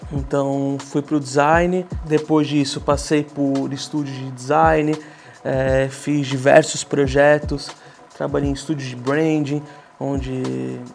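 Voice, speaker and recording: Noticeable background noise sits behind a man speaking very slowly. His pitch is fairly high, and his intonation stays fairly even. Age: 20s. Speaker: graphic designer, design studio co-founder. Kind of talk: documentary interview. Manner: casual, conversational.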